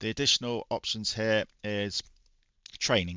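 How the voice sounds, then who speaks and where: A man talks quietly with a British accent. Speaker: retro gaming YouTuber. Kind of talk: casual gaming review talk. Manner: quiet, low volume.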